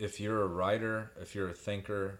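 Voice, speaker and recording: At a moderate pace, a man with fairly low pitch speaks in a Midwestern US accent. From Indiana (Greenwood). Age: 40s. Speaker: poet. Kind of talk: casual chat.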